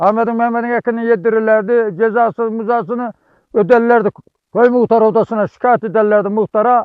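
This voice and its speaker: The man's pitch is high and his intonation fairly even. His pace is fairly quick. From Turkey, Konya province. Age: 70s. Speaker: herdsman. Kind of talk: interview.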